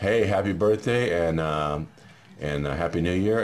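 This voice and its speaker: Noticeable background noise sits behind a man speaking at a moderate pace. His pitch varies in an ordinary way. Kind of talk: casual family interview questions.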